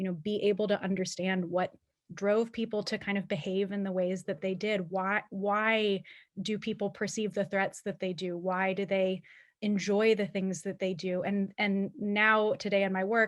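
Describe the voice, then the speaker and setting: Speaking in an American accent at a moderate pace, a woman keeps her intonation monotone and flat. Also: medium pitch for a woman. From Pennsylvania, US. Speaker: alumni panelist, policy professional. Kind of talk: panel discussion.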